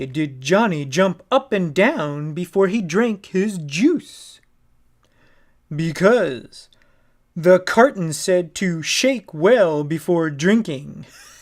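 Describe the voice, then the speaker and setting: In a put-on character voice at middle pitch, the speaker uses an upbeat, playful tone at a very slow pace, on a very clean recording with a silent background. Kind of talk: joke telling for children.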